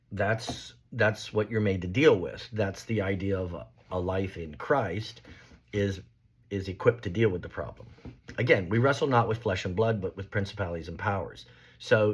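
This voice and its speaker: A man with a fairly low, somewhat breathy voice speaks with ordinary pitch variation. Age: 60s. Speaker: astrologer and religious teacher. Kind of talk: casual monologue on religion. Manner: halting, many fillers.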